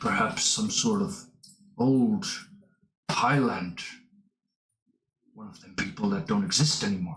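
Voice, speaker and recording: Putting on a character voice, a man speaks at a moderate pace and fairly high pitch, with very wide pitch swings, long, frequent pauses and audible echo. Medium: actual play. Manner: gruff, terse.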